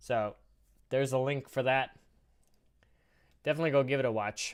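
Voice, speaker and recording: An ordinary speaking voice moves at a fairly quick pace. The intonation is fairly even. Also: man, medium pitch for a man. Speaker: livestreamer. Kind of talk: casual chat. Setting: live stream.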